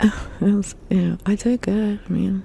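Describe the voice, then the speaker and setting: The speaker is soft-spoken. Noticeable background noise can be heard. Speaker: ASMR artist. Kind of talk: ASMR soft-spoken ramble.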